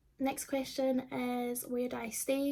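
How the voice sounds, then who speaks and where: A woman speaks with a high pitch in a dark, mellow tone. Her intonation is monotone and flat. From Scotland, Livingston (between Glasgow and Edinburgh). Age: 20s. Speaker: YouTuber. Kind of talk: casual Q&A vlog. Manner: casual, many fillers.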